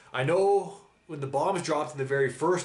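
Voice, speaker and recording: Over noticeable background noise, the speaker keeps an animated tone. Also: man. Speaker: reaction youtuber. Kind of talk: casual monologue reacting to a TV episode.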